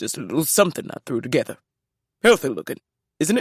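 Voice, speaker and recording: Using a put-on character voice, a man talks very fast in a raspy, fairly high pitch with very wide pitch swings, the sound dry and close with no echo. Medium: read story. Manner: gruff, clipped.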